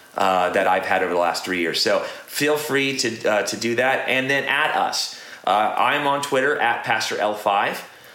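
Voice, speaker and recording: Noticeable background noise runs under the recording. A man speaks at a moderate pace with very even loudness. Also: medium pitch for a man, lively intonation. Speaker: podcast host. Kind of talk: casual chat. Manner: laid-back, joking.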